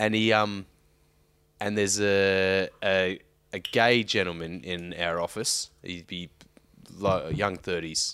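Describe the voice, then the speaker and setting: Against a silent background in a very clean recording, a man with an Australian accent speaks very slowly in a very deep, low pitch and a bright, sharp tone, with fairly even intonation and long, frequent pauses. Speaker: podcast co-host. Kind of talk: casual banter, swearing. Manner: joking, laughing.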